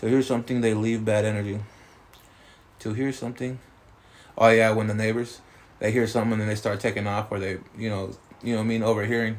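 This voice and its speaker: At a very fast pace with long, frequent pauses, a man talks at medium pitch in a monotone, flat intonation. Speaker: spiritual practitioner and livestreamer. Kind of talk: casual live stream chat. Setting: TikTok live stream. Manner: loud.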